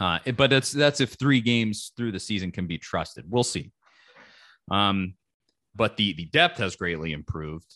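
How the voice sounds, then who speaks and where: In a dry, close recording with no echo and a quiet background, a man speaks at a moderate pace in a fairly low pitch with a bright, sharp tone. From Knoxville, Tennessee. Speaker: sports podcaster. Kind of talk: casual chat.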